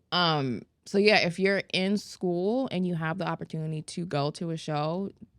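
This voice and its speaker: This woman has an unremarkable speaking voice, fairly low in pitch with ordinary variation, at a moderate pace. The recording is very clean, with a silent background. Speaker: esthetician educator and podcast co-host. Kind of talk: casual chat.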